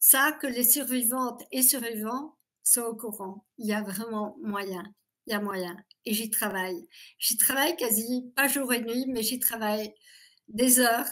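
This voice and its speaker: At a very slow pace, a woman talks in a fairly high voice with ordinary pitch variation. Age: 60s. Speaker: abuse survivor giving testimony. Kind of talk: interview testimony.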